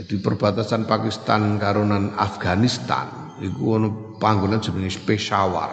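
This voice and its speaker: With a Javanese accent, a man speaks at a moderate pace in a fairly low voice with fairly even intonation, amid audible room echo and noticeable background noise. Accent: Javanese-accented Indonesian. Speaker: Islamic teacher. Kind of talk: religious lecture.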